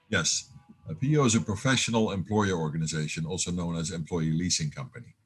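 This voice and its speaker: This man talks at a very fast pace with lively intonation. His pitch is very deep and low, and his voice is somewhat breathy. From Netherlands. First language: Dutch. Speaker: business owner. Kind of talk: interview. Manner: halting.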